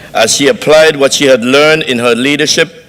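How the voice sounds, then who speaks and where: There is noticeable background noise as a man talks at a fairly high pitch. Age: 60s. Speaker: graduate speaker, pastor. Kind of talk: speech. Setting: graduation banquet, stage with audience. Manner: formal.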